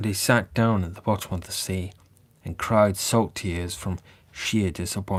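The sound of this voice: This is an unforced reading voice. It reads the text as written.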